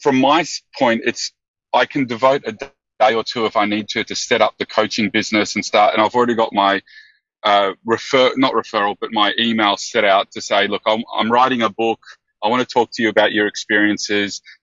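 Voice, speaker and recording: An Australian-accented man speaks fairly quickly with fairly even intonation. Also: medium pitch for a man. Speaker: business consultant moving into coaching. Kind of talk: call-in question on a coaching podcast. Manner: halting, with many fillers.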